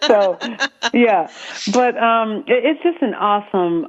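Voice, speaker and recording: A woman talks with a Southern accent. Her pitch variation is ordinary. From US South, South Carolina. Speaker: military spouse, author and network founder. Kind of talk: radio interview. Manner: halting, many fillers.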